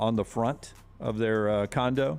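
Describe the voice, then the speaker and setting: With music in the background, a man in a Southern US accent talks at a medium pitch with fairly even intonation. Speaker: sports radio host. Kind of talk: casual chat.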